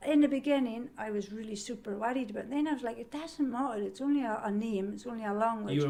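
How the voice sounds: A woman talks very fast at a fairly high pitch, with hardly any pauses. Her pitch varies in an ordinary way, and there is noticeable background noise.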